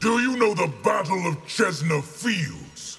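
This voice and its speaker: Using a put-on character voice, the speaker growls at a fairly slow pace. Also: man, high pitch for a man, lively intonation. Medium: video game. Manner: commanding, threatening.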